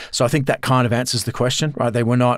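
In a very clean recording with a silent background, a man with an Australian accent speaks at a medium pitch in a monotone, flat intonation. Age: 50s. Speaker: professor and former army officer. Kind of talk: interview.

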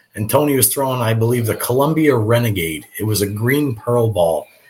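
Noticeable background noise sits behind a man's medium-pitched voice. He speaks at a fairly quick pace with ordinary pitch variation. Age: 30s. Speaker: professional bowler. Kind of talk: casual chat.

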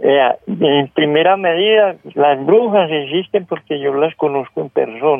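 Speaking at a fairly slow pace, the man has a fairly high pitch and ordinary pitch variation. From rural Colombia. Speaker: caller, farmer. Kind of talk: phone-in storytelling. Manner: halting.

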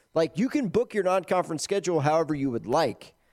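A man's dark, mellow tone with lively intonation. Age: 30s. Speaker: sports radio host. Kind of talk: casual sports talk show. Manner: animated.

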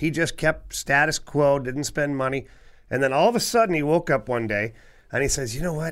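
Lively intonation and a moderate pace from a plain, everyday voice, on a very clean recording with a silent background. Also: man, fairly high pitch for a man. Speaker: former NHL defenseman, podcast co-host. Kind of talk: casual sports chat.

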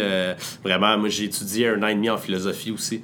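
Here a man speaks at a fairly low pitch. His fairly quick delivery has monotone, flat intonation. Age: 20s. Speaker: entrepreneur. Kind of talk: interview. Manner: hesitant, many filler words.

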